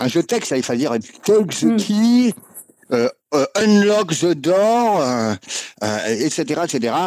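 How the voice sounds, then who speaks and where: A man speaks with very wide pitch swings. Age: 50s. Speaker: video game music composer. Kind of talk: interview.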